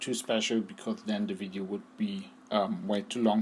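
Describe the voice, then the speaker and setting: This man has a medium-pitched voice with a German accent and ordinary pitch variation. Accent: non-native English, German. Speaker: gaming guide creator. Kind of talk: tutorial. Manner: halting, many fillers.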